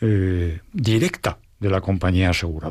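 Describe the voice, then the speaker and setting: A man speaks at a fairly low pitch with ordinary pitch variation. His voice sounds somewhat breathy. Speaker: lawyer. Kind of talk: expert discussion.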